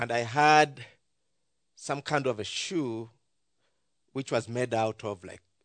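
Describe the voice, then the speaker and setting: A man with a Ugandan accent talks at medium pitch with ordinary pitch variation, recorded dry and close with no echo against a quiet background. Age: 40s. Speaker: ministry leader and pastor. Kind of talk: church talk sharing testimony and mission. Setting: church with audience.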